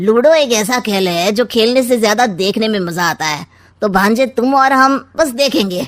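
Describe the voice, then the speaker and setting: Putting on a cartoonish character voice, a woman talks at a moderate pace in a fairly high pitch with lively intonation. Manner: sly, taunting.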